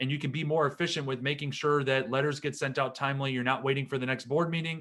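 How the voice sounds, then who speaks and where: In a very clean recording with a silent background, a man speaks with a bright, sharp tone, a fairly high pitch and fairly even intonation. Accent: Wisconsin. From Wisconsin, US Upper Midwest. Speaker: attorney. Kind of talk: seminar lecture. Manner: conversational, with fillers.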